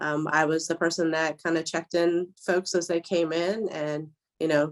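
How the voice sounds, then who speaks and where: A woman speaks in a fairly low voice with flat, monotone intonation. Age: 30s. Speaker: behavioral health compliance officer. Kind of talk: interview. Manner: hesitant, many fillers.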